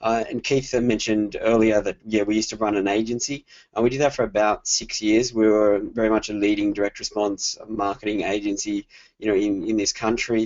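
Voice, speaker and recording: A man with an Australian accent speaks in a fairly low voice. His intonation is monotone and flat. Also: fairly quick pace. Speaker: digital marketing consultant. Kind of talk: webinar presentation. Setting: online webinar.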